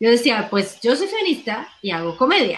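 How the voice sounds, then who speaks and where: A woman is speaking. Her pace is fairly quick. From Colombia. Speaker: actress and comedian. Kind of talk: interview.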